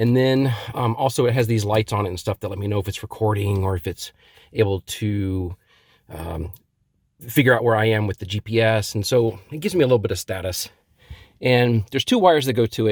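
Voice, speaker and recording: A man speaks at a fairly quick pace with a fairly low, somewhat breathy voice and ordinary pitch variation. The recording is very clean with a silent background and a dry, close sound with no echo. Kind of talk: product installation tutorial. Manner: mild stutter, frequent pauses and filler words.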